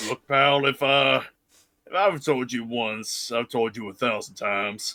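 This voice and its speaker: A man's raspy, put-on character voice at a medium pitch and moderate pace. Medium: game stream. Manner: gruff, casual.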